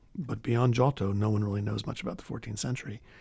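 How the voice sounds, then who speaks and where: Somewhat breathy, this man speaks with a fairly low pitch and ordinary pitch variation. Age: 50s. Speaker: art history professor. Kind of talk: interview.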